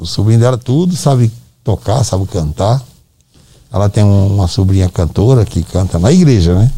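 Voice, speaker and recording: A man speaks at a moderate pace in a fairly low voice, somewhat breathy, with a dark, mellow tone and lively intonation. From Brazil, Northeast (Ceará). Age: 70s. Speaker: musician's father. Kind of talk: casual chat. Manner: halting.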